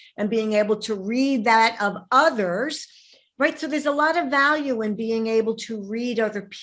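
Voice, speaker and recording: In a Brooklyn accent, a woman speaks at a fairly slow pace with a fairly high pitch and lively intonation, on a very clean recording with a silent background. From New York, Brooklyn. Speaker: podcast host, relationship coach. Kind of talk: interview conversation. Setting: podcast.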